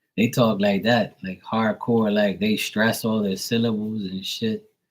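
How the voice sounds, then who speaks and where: A man with an American accent speaks at a fairly low pitch and a fairly slow pace. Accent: strong accent mistaken for New York. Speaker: tarot reader. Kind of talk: casual chat. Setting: live stream. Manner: animated.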